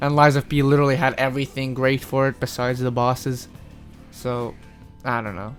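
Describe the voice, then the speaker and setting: Music plays in the background as the speaker talks at a moderate pace in a flat monotone. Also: man. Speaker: gaming reviewer. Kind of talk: casual game review talk. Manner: casual, rambling.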